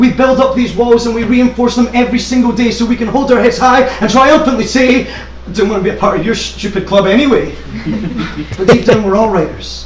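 The voice moves at a fairly quick pace with fairly even intonation. Noticeable background noise sits behind it. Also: man, extremely high pitch for a man. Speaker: spoken word poet. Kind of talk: slam poetry performance. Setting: live stage. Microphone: camera far.

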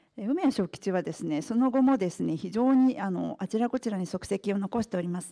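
Against a quiet background, a woman speaks at a fairly quick pace with hardly any pauses. Her intonation is lively. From Japan, partly raised in England. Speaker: author and restaurant executive. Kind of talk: lecture. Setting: press club talk with audience. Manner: formal. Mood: polite formal speech. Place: hall.

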